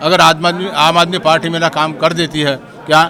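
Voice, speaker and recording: A man speaks in a fairly high voice. Noticeable background noise can be heard. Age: 70s. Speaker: craftsman, member of the public. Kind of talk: street interview.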